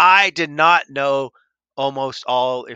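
A man speaks with a bright, sharp tone. The sound is dry and close, with no echo.

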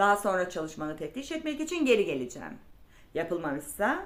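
This is an unforced reading voice. The words are simply read aloud.

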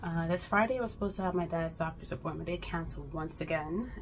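A woman at a fairly quick pace, with light background noise. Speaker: vlogger. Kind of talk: casual vlog chat. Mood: venting about a hectic day. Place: kitchen. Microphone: phone near.

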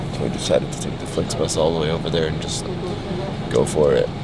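Loud background noise accompanies a man whose voice has a dry sound with no echo. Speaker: travel vlogger. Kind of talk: casual vlog chat. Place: bus. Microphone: phone near.

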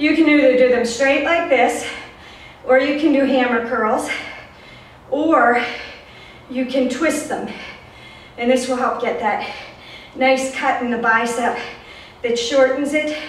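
Against light background noise and audible room echo, a woman speaks at a high pitch with fairly even intonation. Her pace is fairly slow, with long, frequent pauses. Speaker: fitness instructor. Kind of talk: workout instruction. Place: home room. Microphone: camera far.

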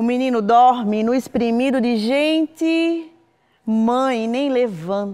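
Against a quiet background, a woman speaks very slowly in a high pitch with ordinary pitch variation. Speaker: poet. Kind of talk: poetry reading, spoken word poem. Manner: slow, reflective, intimate; measured, rhythmic, repeated lines. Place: studio.

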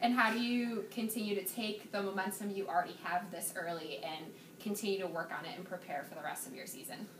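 Over noticeable background noise, a woman talks at a very fast pace with big swings in loudness and ordinary pitch variation. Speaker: student sports interviewer. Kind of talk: interview questions. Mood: upbeat, smiling. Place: hall.

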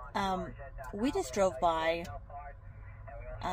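There is noticeable background noise behind a woman whose voice has a dry sound with no echo. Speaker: fitness vlogger. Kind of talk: casual vlog chat. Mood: reflective, somber. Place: car. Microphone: phone near.

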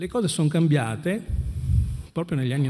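Against a quiet background, a man talks at a fairly quick pace. His pitch variation is ordinary. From Venice, Veneto; Veneto. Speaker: anti-mafia prosecutor. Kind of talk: panel talk. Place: hall.

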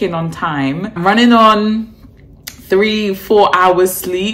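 A woman's pitch rises and falls in an ordinary way as she talks very slowly. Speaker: vlogger. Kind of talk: casual vlog chat. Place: home room. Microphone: phone near.

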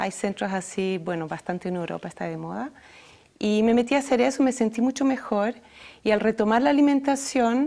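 Her tone dark and mellow, a woman with a French accent talks at a moderate pace. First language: French (speaking Spanish). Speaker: healthy food entrepreneur; interview guest. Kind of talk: interview. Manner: halting. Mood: calm, friendly. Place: studio.

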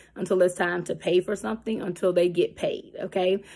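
An ordinary speaking voice moves at a fairly quick pace over a quiet background. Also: woman. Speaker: financial coach. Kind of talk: casual vlog advice talk. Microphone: phone near.

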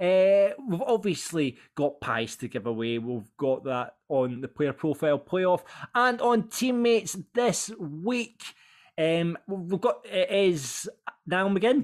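In a Scottish accent, a man speaks very slowly at a high pitch with very wide pitch swings, on a very clean recording with a silent background. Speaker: podcast host and producer. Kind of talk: casual chat.

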